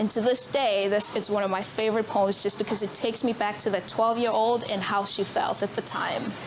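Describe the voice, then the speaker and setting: Against noticeable background noise, a woman talks fairly quickly at a fairly high pitch in a monotone, flat intonation. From South Africa. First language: Zulu. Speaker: author. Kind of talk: public talk at book event. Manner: hesitant, many fillers.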